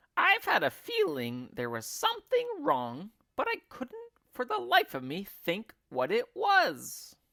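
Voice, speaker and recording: Putting on a character voice, a man talks at a fairly slow pace in a dry, close recording with no echo. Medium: read story.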